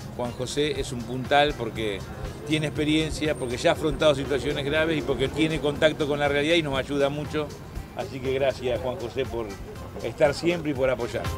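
A man at a fairly quick pace with fairly even intonation, dry sound with no echo, and clear music in the background. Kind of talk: interview answer. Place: street.

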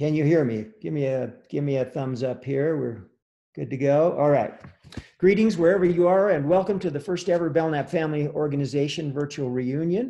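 A man with a dark, mellow tone talks at a fairly quick pace with ordinary pitch variation. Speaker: family organization president hosting. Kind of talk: welcome speech with tech troubles. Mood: flustered by technical issues. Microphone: video call.

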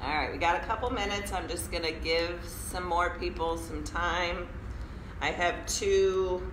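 A woman talks at a fairly slow pace with audible room echo and light background noise. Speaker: yoga teacher. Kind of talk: casual chat to viewers of a live stream. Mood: cheerful, laughing. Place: meeting room. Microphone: camera far.

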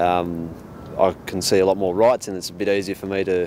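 Over light background noise, a man with an Australian accent talks at a fairly quick pace in a dry sound with no echo. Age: 20s. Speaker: apprentice mechanic. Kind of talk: interview testimonial. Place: street.

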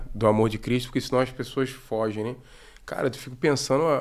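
Fairly quick speech from a man, medium in pitch. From Brazil, Rio de Janeiro state (Araruama); Rio de Janeiro state, Brazil. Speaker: former footballer and football coach; football coach. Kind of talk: testimony. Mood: relaxed, earnest testimony. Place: studio. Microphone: studio mic.

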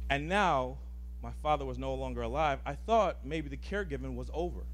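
A man speaks with a very deep, low pitch and a somewhat breathy voice in a monotone, flat intonation. Light background noise can be heard. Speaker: guest. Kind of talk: personal storytelling talk. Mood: earnest, personal, some humor. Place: hall. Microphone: handheld.

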